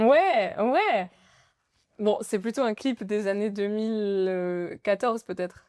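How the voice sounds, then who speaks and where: Her delivery is very slow. This woman's pitch sits fairly high and varies in an ordinary way. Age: 20s. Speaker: nail artist. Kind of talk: casual podcast interview.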